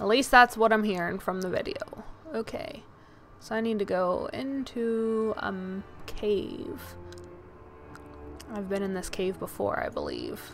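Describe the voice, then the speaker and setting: A woman mumbling at a fairly high pitch and a fairly slow pace, with long, frequent pauses and music in the background. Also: lively intonation. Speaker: video game streamer. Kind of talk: live gaming stream chat. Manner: mumbling to herself.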